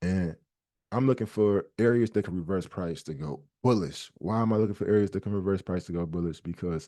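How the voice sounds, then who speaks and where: Against a quiet background, a man with a very deep, low pitch and a dark, mellow tone speaks very fast in a passionate tone with ordinary pitch variation. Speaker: trading educator. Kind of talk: tutorial. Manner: fast, passionate.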